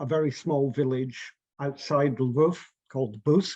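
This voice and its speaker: This man speaks with a Scottish accent in a fairly high pitch. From Scotland, St Andrews in Fife. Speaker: artist. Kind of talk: interview, personal memories.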